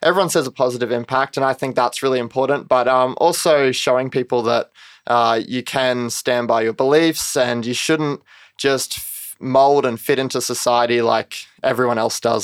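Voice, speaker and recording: A normal speaking voice at a moderate pace, dry and close with no echo, on a very clean recording with a silent background. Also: man. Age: 20s. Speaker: competitive cyclist and young entrepreneur. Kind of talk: interview. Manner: casual, many fillers.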